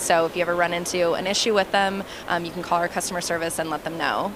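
There is noticeable background noise as a woman speaks with monotone, flat intonation in a dry sound with no echo. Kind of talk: product demo interview answer. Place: hall. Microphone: handheld.

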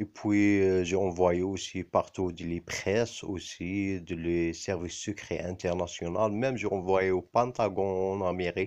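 A man's very deep, low voice in an Arabic accent, very slow, with fairly even intonation over a quiet background. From Algeria. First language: Arabic (speaking French). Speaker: video blogger. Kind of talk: personal monologue to camera. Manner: halting, many hesitations.

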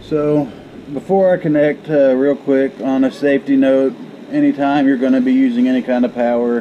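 Over light background noise, a man's fairly quick speech shows ordinary pitch variation. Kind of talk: tutorial. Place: workshop.

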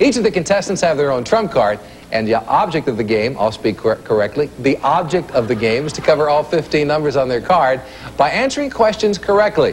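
An upbeat man at a fairly high pitch, with very wide pitch swings and a fairly quick pace, over noticeable background noise. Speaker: game show host. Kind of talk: TV game show hosting, rapid-fire quiz questions and score calls. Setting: stage with studio audience in a casino. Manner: brisk, upbeat quizmaster pacing, snapping out questions and verdicts; chummy and encouraging with contestants, light banter.

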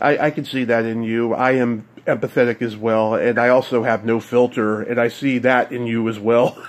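Against noticeable background noise, a medium-pitched man talks at a moderate pace in a monotone, flat intonation with hardly any pauses. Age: 40s. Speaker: podcast host. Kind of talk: casual chat.

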